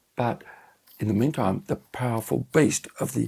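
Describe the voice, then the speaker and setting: This man talks with vocal fry. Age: 70s. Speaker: wine expert. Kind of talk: wine tasting discussion.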